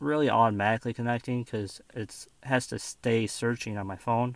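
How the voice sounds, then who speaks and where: Over a quiet background, the voice moves at a fairly slow pace in a dry sound with no echo. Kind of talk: casual demo tutorial. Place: car. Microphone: phone near.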